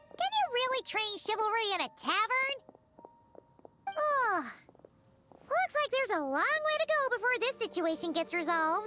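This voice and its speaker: An extremely high, put-on character voice takes a playful tone. Long pauses come often. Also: moderate pace. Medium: short film. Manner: playful, quippy.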